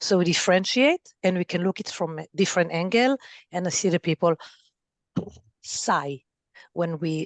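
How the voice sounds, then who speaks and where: Pausing long and often, a woman with an Israeli accent speaks at a moderate pace and fairly low pitch, with ordinary pitch variation. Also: dry, close sound with no echo. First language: Hebrew. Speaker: family therapist and parent coach. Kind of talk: podcast interview.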